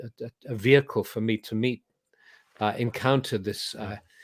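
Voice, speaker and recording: A man talks at a medium pitch with an English accent and a monotone, flat intonation. The sound is dry and close, with no echo. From England. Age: 70s. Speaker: spiritual teacher. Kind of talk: interview. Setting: video call.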